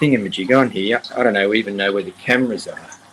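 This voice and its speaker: The intonation is lively. Noticeable background noise sits behind the voice. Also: man. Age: 60s. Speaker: aquarium hobbyist guest. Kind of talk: casual chat.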